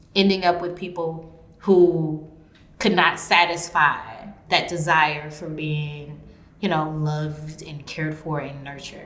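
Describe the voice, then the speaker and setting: A woman's very deep, low voice in a monotone, flat intonation with big swings in loudness, amid noticeable background noise and audible room echo. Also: fairly slow pace. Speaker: podcast host, educator and writer. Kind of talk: casual conversation about love.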